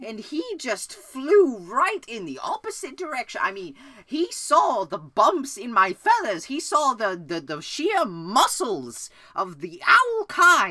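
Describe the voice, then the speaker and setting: The speaker puts on a character voice pitched fairly high. The pace is fairly slow. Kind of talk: comedy sketch. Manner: rambling, hesitant.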